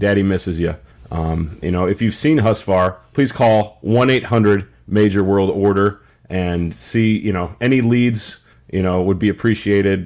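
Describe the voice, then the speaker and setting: At a fairly slow pace, a man talks at a fairly low pitch with ordinary pitch variation, in an ordinary speaking voice. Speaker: podcast co-host and wrestling figure collector. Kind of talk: casual chat.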